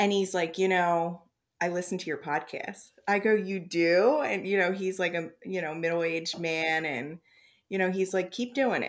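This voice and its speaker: A woman speaks at a moderate pace with a plain, everyday voice, fairly low in pitch and with ordinary pitch variation. The recording is very clean, with a silent background. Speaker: podcast host. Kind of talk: casual chat.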